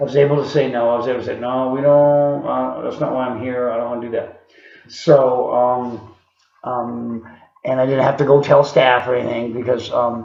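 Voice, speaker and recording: A man at medium pitch and moderate pace. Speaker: video diarist in recovery. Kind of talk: video diary. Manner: halting, many fillers.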